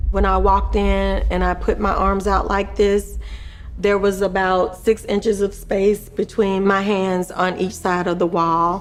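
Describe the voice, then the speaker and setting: A woman at a fairly slow pace and very even loudness, over noticeable background noise. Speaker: former surgical nurse, solitary confinement survivor. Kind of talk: documentary narration.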